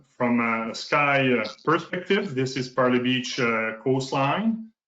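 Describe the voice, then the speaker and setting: A man talks at a medium pitch. Audible echo from the room fills the recording. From northern New Brunswick, Canada (francophone). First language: French. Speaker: provincial park manager. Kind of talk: conference presentation. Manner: halting.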